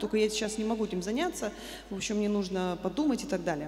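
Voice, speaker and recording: A woman with a fairly high pitch is heard with audible room echo and light background noise. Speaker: church member giving testimony. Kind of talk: testimony speech to congregation. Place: church. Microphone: handheld.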